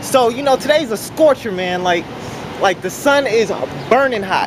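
A man speaks at a moderate pace and extremely high pitch with lively intonation, over clear background noise.

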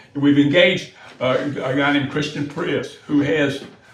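A man with an American accent and a fairly high pitch talks in a flat monotone, with audible room echo and noticeable background noise. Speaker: city official presenting to county board. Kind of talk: public meeting presentation. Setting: board meeting room. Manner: fast; halting, many repeated words.

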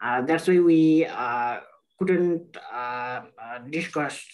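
Against a quiet background, a man talks at a very slow pace. His pitch variation is ordinary. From Nepal. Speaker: intersex activist; webinar panelist. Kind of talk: panel discussion. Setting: video call. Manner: halting. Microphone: video call.

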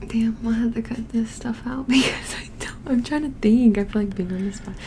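A soft-spoken woman at a fairly quick pace and fairly high pitch, with big swings in loudness over light background noise. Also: fairly even intonation. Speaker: ASMR creator. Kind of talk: casual soft-spoken ASMR talk with boyfriend. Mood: playful, a bit flustered. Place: home room. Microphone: studio mic.

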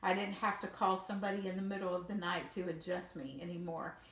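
In a room with audible echo, a woman talks at a fairly quick pace with monotone, flat intonation. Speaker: user demonstrating accessible smart bed. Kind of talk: casual demonstration and personal account.

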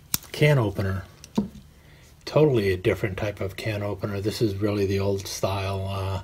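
Fairly low and somewhat breathy, a man's voice moves at a fairly quick pace. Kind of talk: tutorial. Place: home room. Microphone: phone near.

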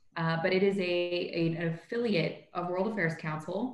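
At a fairly slow pace, a woman speaks with fairly even intonation amid audible room echo. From Canada, Toronto. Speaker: corporate lawyer, young professionals group leader. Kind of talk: interview conversation. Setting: video call. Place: home room. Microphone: video call.

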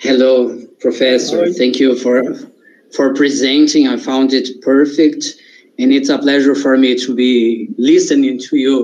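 A man speaks with a Portuguese accent in a monotone, flat intonation. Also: moderate pace. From Brazil. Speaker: audience member. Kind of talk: Q&A question. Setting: video call. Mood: polite, thoughtful. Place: home room. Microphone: video call.

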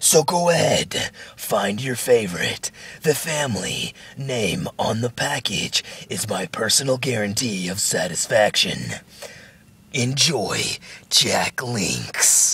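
A man puts on a raspy character voice at a medium pitch, his tone dramatic. He talks at a fairly slow pace with long, frequent pauses. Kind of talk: movie trailer. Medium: read story. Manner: dramatic, deep announcer style.

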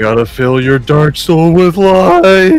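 A put-on character voice with lively intonation goes at a fairly slow pace over light background noise. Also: man. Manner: overwrought, campy, with voice crack.

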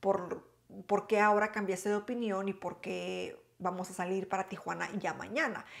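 This is a woman speaking at a moderate pace. The background is quiet. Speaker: storytelling vlogger. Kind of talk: casual vlog storytelling. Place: home room.

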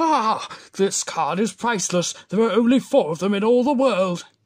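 A cartoonish character voice speaks at a moderate pace. Its pitch sits fairly high. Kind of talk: cartoon character voice impressions. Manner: warm, proud.

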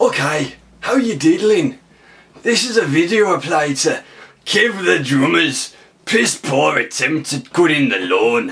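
In a put-on character voice, a man talks fairly slowly at a fairly high pitch, his pitch swinging very widely. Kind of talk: comedy character monologue to camera. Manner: mocking, boastful.

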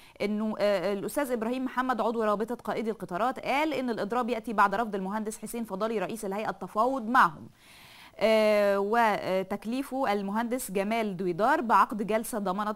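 A woman speaks at a moderate pace with hardly any pauses and ordinary pitch variation. The background is quiet. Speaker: TV presenter. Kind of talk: news reading and commentary. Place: studio. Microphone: lapel.

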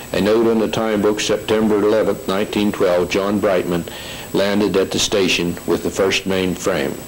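Over noticeable background noise, a man speaks at a fairly low pitch and a fairly slow pace. His intonation is monotone and flat, and his loudness very even. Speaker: station foreman giving local history. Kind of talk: historical narration reading from notes.

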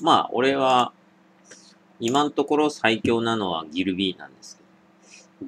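Against light background noise, a man speaks fairly slowly with lively intonation. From Japan, Niigata; Japan. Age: 20s. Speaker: drinking video creator; drinking livestreamer. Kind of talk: casual solo vlog monologue; casual vlog chat, responding to viewer comments. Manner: casual, many fillers. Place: home room. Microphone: webcam.

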